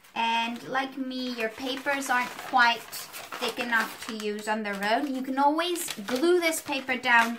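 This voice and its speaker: Speaking at a fairly slow pace with hardly any pauses, a woman with a high pitch is heard over noticeable background noise. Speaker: art teacher. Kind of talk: tutorial.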